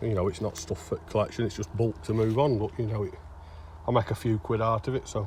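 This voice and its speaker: With a strong Derbyshire accent, a man speaks somewhat breathy and fairly low, at a fairly quick pace with ordinary pitch variation. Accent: broad Derbyshire. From England, Derbyshire. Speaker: bottle digger vlogger. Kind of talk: casual vlog narration. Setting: outdoors.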